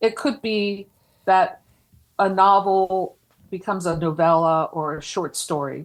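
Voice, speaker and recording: The speech moves at a fairly slow pace with long, frequent pauses, on a very clean recording with a silent background. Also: woman, medium pitch for a woman, ordinary pitch variation. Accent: Philadelphia. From Philadelphia area, US. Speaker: podcast co-host, horror writer and editor. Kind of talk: casual chat.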